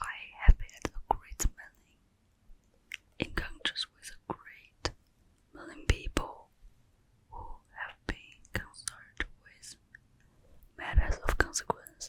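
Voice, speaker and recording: A woman whispers at a very slow pace with long, frequent pauses and big swings in loudness, over noticeable background noise. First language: Mandarin Chinese. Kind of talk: ASMR whispered book reading. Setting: cozy room, home recording. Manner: whispered, soft, slow.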